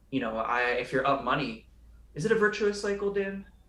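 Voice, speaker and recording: Speaking at a fairly quick pace with an American accent, a man makes very wide pitch swings amid audible room echo. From California. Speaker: day trader and show host. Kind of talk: casual chat. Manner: fast; animated.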